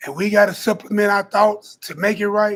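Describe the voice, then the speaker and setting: A man is speaking. His pitch sits high for a male voice. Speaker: Bible teacher. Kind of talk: religious teaching. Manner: emphatic, conversational.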